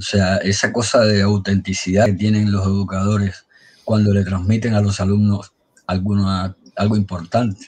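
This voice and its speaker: A man's fairly low, somewhat breathy voice in a flat monotone, his loudness very even. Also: moderate pace. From Havana, Cuba; Cuba. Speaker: blogger and amateur historian; guest. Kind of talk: storytelling history talk. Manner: halting. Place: home room. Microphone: video call.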